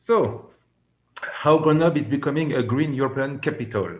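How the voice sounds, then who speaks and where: A man speaks with a French accent, with audible room echo around him. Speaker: city representative presenter. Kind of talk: presentation. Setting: video call. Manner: halting.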